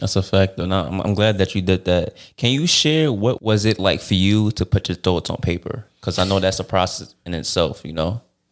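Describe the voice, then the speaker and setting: On a very clean recording with a silent background, a man speaks at a moderate pace with hardly any pauses, a fairly low pitch, and ordinary pitch variation. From Brooklyn, New York. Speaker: podcast host. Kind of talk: podcast interview; scripted outro.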